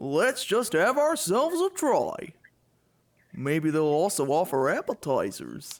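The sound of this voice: A man's put-on character voice, fairly high with big pitch swings, at a slow pace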